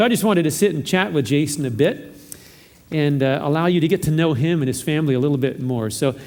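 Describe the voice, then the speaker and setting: Very fast speech in an American accent with a warm tone and ordinary pitch variation. Room echo is audible. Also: man, fairly high pitch for a man. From Southern California. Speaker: pastor. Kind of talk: church announcements. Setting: church service. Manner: warm, informal.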